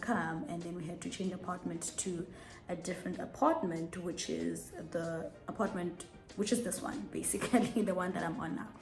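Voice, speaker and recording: A woman talks at a fairly quick pace with a medium pitch and ordinary pitch variation. Audible room echo surrounds her voice. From South Africa. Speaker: YouTuber. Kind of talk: casual chat. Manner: fast.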